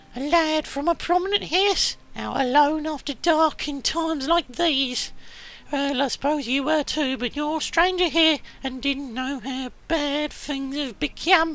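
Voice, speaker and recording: A put-on character voice is pitched high. It moves at a fairly slow pace. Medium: game stream. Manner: shrewd, businesslike.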